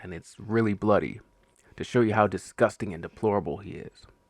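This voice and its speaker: In a relaxed tone, a man talks at a moderate pace with a fairly low pitch. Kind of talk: casual show review to camera. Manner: relaxed, conversational.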